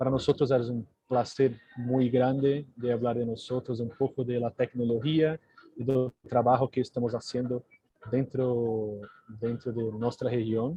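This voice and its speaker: A man speaks with a Portuguese accent at a fairly slow pace, his pitch medium. His intonation stays monotone and flat. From Brazil, Sao Paulo. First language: Portuguese (speaking Spanish). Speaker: technology company representative. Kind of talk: live webinar presentation. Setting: video call. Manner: slow, halting non-native Spanish.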